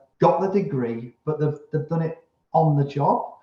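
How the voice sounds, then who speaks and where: His fairly high voice is somewhat breathy. The man's pitch moves with ordinary variation. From England. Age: 60s. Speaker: manufacturing business owner. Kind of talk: podcast interview. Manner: halting.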